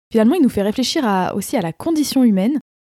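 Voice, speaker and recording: On a very clean recording with a silent background and a dry, close sound with no echo, a woman speaks at a fairly high pitch with a dark, mellow tone and lively intonation. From France, Rhône-Alpes region. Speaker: podcast host and aspiring novelist. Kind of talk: casual book-review monologue.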